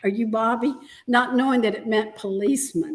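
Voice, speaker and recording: A high-pitched woman with an American accent speaks at a fairly quick pace with ordinary pitch variation. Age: 70s. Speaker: guest. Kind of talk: casual chat.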